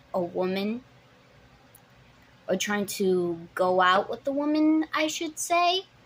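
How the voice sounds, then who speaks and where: A woman's medium-pitched voice at a very slow pace, with very wide pitch swings. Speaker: vlogger. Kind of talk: personal storytelling vlog. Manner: stuttering; halting.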